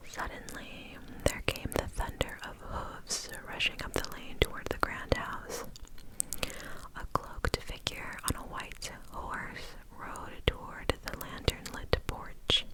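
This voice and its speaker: Someone whispers at a very slow pace in a gentle tone. Noticeable background noise is present. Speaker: ASMR creator. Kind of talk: ASMR horror story narration. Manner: soft whispers, gentle.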